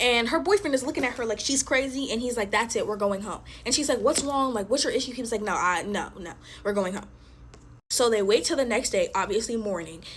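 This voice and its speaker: Her delivery is very fast, with lively intonation and an animated tone. This woman's pitch is fairly high. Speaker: storyteller content creator. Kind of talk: casual storytelling while playing with slime. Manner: occasional stutter.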